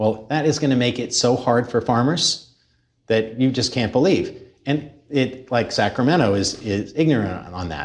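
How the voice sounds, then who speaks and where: A man has a plain, everyday voice at a medium pitch. He keeps a moderate pace with ordinary pitch variation. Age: 50s. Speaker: macroeconomist and agricultural investor. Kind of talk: interview.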